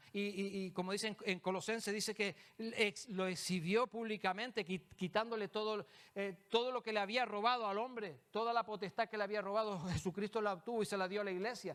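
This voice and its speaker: A man talks at a fairly quick pace in a high pitch. His intonation stays fairly even. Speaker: preacher. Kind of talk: sermon. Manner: fast; halting repetitions.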